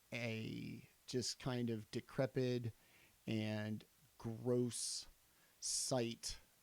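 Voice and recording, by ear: This is someone reading aloud. The voice is natural.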